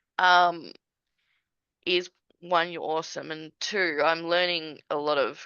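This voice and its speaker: A woman with an Australian accent speaks at a very slow pace and a fairly low pitch, her intonation fairly even. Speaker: small business owner, admin services. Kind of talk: casual interview chat.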